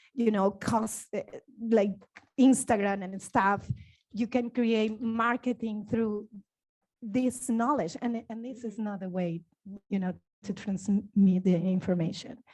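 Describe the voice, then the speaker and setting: A somewhat breathy woman with a fairly high pitch speaks at a fairly slow pace and fairly even intonation on a very clean recording with a silent background. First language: not English. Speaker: dancer. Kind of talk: panel discussion. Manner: halting.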